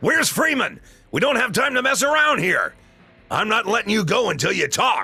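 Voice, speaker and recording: In a put-on character voice, a man speaks in an extremely high, gruff pitch with an angry tone, lively intonation and a moderate pace, over faint background music. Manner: gruff, angry.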